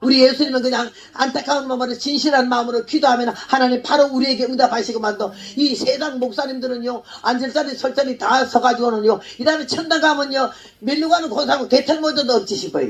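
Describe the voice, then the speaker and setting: A woman speaks in an animated tone at a very fast pace and a high pitch. Noticeable background noise can be heard. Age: 80s+. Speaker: missionary preacher. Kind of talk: sermon.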